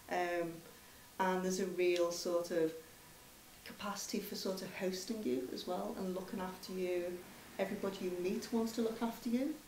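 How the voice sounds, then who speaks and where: Noticeable background noise and audible room echo fill the recording. A woman speaks at medium pitch and a moderate pace with ordinary pitch variation. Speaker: commissioned artist. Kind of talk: panel discussion. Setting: public Q&A event with audience.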